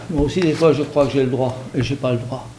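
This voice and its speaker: With noticeable background noise and audible room echo, a man speaks at a moderate pace in a fairly high pitch with fairly even intonation. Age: 60s. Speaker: hunter. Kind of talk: public debate. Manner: hesitant, many fillers.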